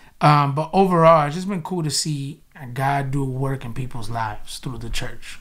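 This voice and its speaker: At a moderate pace, a man speaks with a fairly high pitch and ordinary pitch variation on a very clean recording with a silent background. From US, South Florida (Boynton), Spanish-speaking home. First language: Spanish. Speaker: pastor, church planter. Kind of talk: casual interview.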